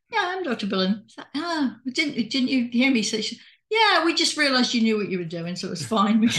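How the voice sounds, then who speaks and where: At a moderate pace, the speaker talks with an English accent and very wide pitch swings. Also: woman, high pitch for a woman. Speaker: retired doctor and hypnotist. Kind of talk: casual conversation. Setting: video call.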